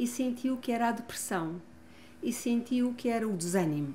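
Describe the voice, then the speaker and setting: Amid audible room echo, a woman talks fairly slowly at a high pitch, dark and mellow in tone, with lively intonation. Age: 60s. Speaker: family constellation therapist and author. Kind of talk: interview testimony. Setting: gym.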